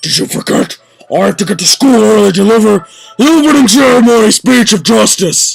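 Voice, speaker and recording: Against background music, a man puts on a gravelly, high-pitched character voice, talking fairly quickly at very even loudness. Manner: solemn, earnest.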